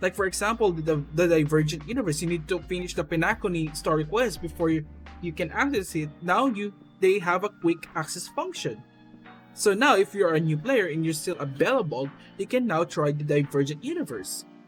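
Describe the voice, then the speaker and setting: A robotic voice moves at a fairly quick pace over music in the background. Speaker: gaming commentator. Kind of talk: unscripted casual commentary. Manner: stuttering, somewhat robotic delivery.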